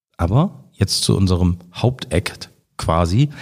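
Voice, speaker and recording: A somewhat breathy man with a very deep, low pitch at a very slow pace. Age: 30s. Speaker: politician and podcast host. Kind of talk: casual interview.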